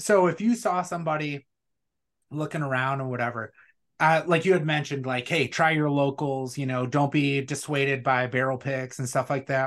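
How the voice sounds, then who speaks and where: With an Upper Midwest accent, this voice shows ordinary pitch variation over a quiet background. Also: man, fairly high pitch for a man, moderate pace. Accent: Upper Midwest American. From Wisconsin. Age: 40s. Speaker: beard products business owner, military veteran. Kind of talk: casual chat.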